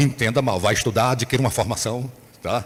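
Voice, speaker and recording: A man talks at a medium pitch and a fairly quick pace. His voice is somewhat breathy. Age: 60s. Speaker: bishop. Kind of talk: sermon. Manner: animated.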